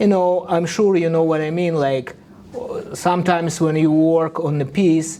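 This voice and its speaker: With a Russian accent, a man speaks at a high pitch using fairly even intonation. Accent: Russian accent, non-native English. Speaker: artist. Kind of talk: live art demo tutorial. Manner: halting, with hesitations.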